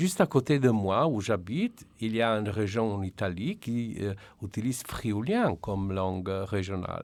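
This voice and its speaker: In a Slovenian accent, a man speaks at a fairly slow pace and fairly low pitch, with ordinary pitch variation. The recording is very clean with a silent background. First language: Slovenian (speaking French). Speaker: translation director. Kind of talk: radio interview. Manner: halting.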